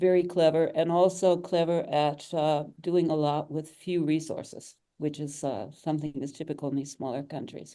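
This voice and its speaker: In an American accent, a woman speaks at a moderate pace with hardly any pauses. Her very deep, low pitch carries a dark, mellow tone and fairly even intonation. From Michigan, USA. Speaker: president of a digital marketing agency. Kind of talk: interview answer.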